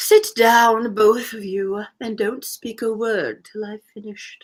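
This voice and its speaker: A put-on character voice that sounds female speaks slowly-ish at a fairly slow pace and fairly high pitch. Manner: solemn.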